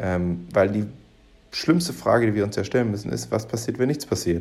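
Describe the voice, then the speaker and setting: A man's voice carries a dark, mellow tone. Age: 20s. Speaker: podcast host. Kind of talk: solo commentary monologue. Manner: halting, many fillers.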